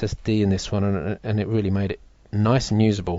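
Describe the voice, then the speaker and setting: With a plain, everyday voice, a man talks at a fairly quick pace in a fairly low pitch with fairly even intonation. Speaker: tech video host. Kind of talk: live stream product demo. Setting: live stream with chat.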